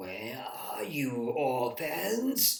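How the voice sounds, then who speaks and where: Using a put-on character voice, a man speaks at a medium pitch. His voice is raspy. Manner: loud, booming, commanding.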